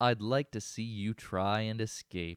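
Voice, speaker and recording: Putting on a booming character voice, a man speaks at a fairly slow pace and medium pitch with fairly even intonation, the sound dry and close with no echo. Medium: read story. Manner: gloating, domineering.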